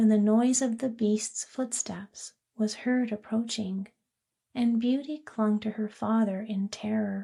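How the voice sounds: The text is read in a natural reading voice against a quiet background.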